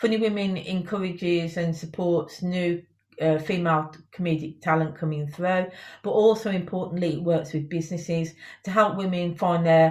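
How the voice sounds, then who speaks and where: In a Birmingham accent, a woman speaks with a fairly low, somewhat breathy voice and fairly even intonation. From Birmingham, England. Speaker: company CEO and founder. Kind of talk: interview. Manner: hesitant, many fillers.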